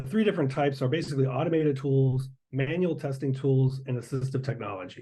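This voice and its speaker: The voice has a dark, mellow tone and is somewhat breathy. It moves at a fairly quick pace over a quiet background. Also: man. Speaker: accessibility specialist presenting at a conference. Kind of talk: conference presentation with Q&A. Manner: fast.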